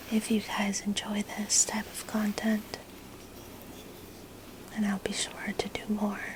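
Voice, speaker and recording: Soft-spoken delivery comes at a very slow pace over noticeable background noise. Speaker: ASMR creator. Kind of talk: ASMR soft-spoken narration.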